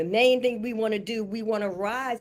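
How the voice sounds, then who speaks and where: This woman has a normal speaking voice, fairly high in pitch, delivered at a moderate pace. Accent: American. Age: 60s. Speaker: spiritual teacher. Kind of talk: spiritual panel discussion.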